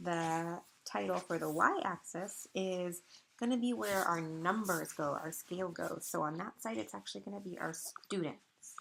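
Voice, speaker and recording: A woman with an unremarkable speaking voice talks at a fairly low pitch and a moderate pace. Her intonation is lively, and she leaves hardly any pauses. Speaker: elementary school teacher. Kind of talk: tutorial.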